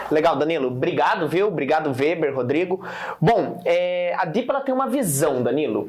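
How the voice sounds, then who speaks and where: Amid audible room echo and noticeable background noise, a man with fairly high pitch and very wide pitch swings speaks at a moderate pace with very even loudness. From Paraná interior, Brazil. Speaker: startup founder. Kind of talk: interview.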